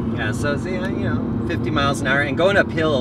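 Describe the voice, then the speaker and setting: Amid loud background noise, a man talks at a fairly quick pace, the sound dry with no echo. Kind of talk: informal explanation during a ride. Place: car. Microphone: phone near.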